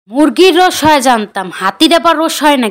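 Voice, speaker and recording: This cartoonish character voice sits at a high pitch and moves at a moderate pace. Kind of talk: comic cartoon voice acting. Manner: skeptical, questioning.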